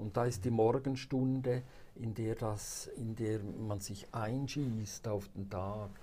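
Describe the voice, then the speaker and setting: Speaking very slowly, a man with a fairly low pitch sounds somewhat breathy, with ordinary pitch variation. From Switzerland, St. Gallen Rhine Valley (Buchs). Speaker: pastor and author. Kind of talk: interview. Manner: hesitant with frequent fillers.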